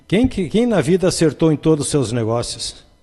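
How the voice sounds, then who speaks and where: A man's dark, mellow, somewhat breathy voice with very wide pitch swings, at a moderate pace against a quiet background. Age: 60s. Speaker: spiritist medium and speaker. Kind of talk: casual chat.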